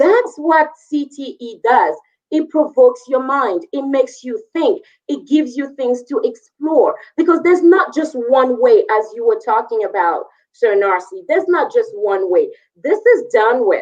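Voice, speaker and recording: A woman speaks at a high pitch with very wide pitch swings. Her pace is fairly slow, with a slight French West African accent. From Ivory Coast, West Africa. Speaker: career and technical education teacher. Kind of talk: panel discussion.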